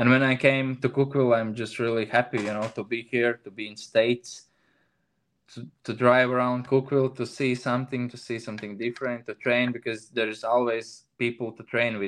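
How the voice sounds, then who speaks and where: In a Latvian accent, a man speaks fairly quickly at a medium pitch with monotone, flat intonation. His loudness swings widely. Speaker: CrossFit athlete. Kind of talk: interview. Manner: halting.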